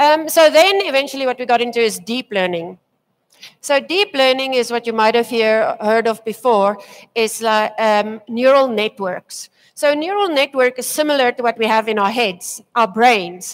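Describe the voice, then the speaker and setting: In a South African accent, a woman speaks at a moderate pace with a fairly high pitch and lively intonation. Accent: local Afrikaans. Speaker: tech presenter. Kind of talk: conference talk. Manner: hesitant, many fillers.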